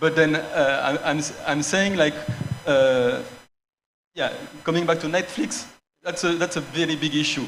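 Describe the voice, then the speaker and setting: With a French accent, a man speaks at a moderate pace with long, frequent pauses, a fairly high pitch and ordinary pitch variation, in a room with audible echo. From France. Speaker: cultural centre director. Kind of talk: panel discussion. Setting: stage with audience. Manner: halting, false starts.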